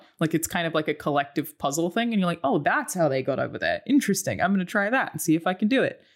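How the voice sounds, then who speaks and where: Recorded very cleanly against a silent background, the speaker uses an Australian accent and talks at a very fast pace with hardly any pauses. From Australia, Brisbane. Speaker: content creator. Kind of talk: casual chat.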